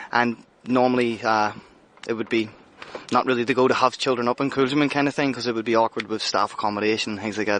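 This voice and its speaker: Over noticeable background noise, a man with a Northern Irish accent speaks at a very fast pace, his medium pitch held in monotone, flat intonation. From Northern Ireland, Belfast. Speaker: head chef. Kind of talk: interview. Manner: casual, hesitant fillers.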